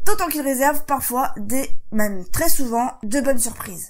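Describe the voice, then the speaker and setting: A high-pitched woman at a moderate pace. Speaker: vlogger. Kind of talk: vlog; reading aloud.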